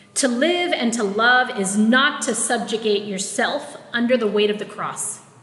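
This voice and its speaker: A woman at fairly high pitch, fairly slow pace, and hardly any pauses, with noticeable background noise. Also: ordinary pitch variation. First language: Tagalog. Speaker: preacher and minister. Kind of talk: sermon.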